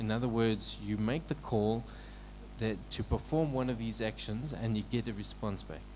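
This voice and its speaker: Soft-spoken, a man talks at a moderate pace. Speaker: technical mentor presenting at a hackathon. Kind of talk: technical presentation. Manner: halting, many fillers and repeats.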